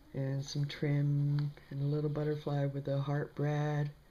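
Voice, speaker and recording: The delivery is fairly slow, and noticeable background noise can be heard. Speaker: paper crafter. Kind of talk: casual craft tutorial talk to camera.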